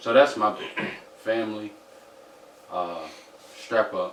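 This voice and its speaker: A man is speaking. Noticeable background noise is audible. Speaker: podcast guest. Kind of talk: casual chat.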